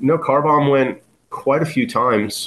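A man with an American accent. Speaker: punk musician. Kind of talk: casual chat. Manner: casual, filler-heavy.

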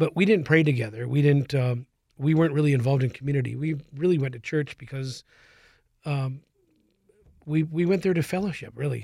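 A man with an American accent, fairly high-pitched, somewhat breathy and dark, mellow in tone, at a fairly quick pace with ordinary pitch variation and long, frequent pauses. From Minnesota. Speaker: nonprofit public relations representative. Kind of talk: interview. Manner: halting.

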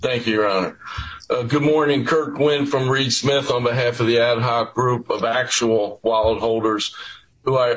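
This man speaks at a medium pitch with fairly even intonation. Noticeable background noise sits behind him. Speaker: lawyer for wallet holders. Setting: remote video appearance.

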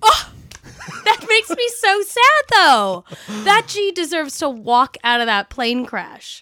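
A woman with an American accent projects a raised voice at an extremely high pitch, swinging very widely while she speaks very slowly, the sound dry and close with no echo. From New York, Long Island. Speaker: hair and makeup artist, podcast co-host. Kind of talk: casual chat.

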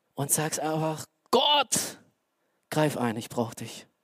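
The speaker has an animated tone. The pace is fairly slow. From Romania. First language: Romanian (speaking German). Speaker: lay preacher. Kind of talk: sermon. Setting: church stage with audience.

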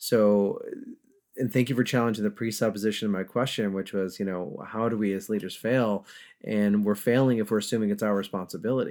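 With an American accent and a plain, everyday voice, a man speaks at a fairly low pitch and a fairly quick pace with fairly even intonation on a very clean recording with a silent background. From upstate New York. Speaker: podcast host, leadership coach. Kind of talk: interview.

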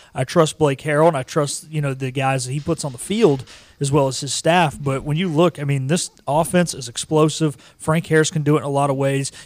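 A normal speaking voice from a man, fairly high in pitch, with fairly even intonation and a fairly quick pace. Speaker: producer and co-host. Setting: in studio.

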